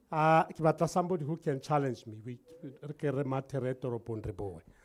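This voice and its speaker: At a moderate pace, a man speaks with a Lesotho accent. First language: Sesotho. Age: 60s. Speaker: entrepreneur. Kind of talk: workshop talk. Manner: energetic.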